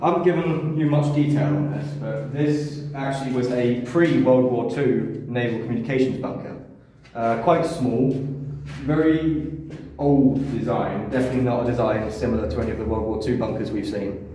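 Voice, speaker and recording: Heard with audible room echo and light background noise, a man talks at a moderate pace with ordinary pitch variation. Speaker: urban explorer guide. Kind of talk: casual explaining commentary. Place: tunnel cave. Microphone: phone near.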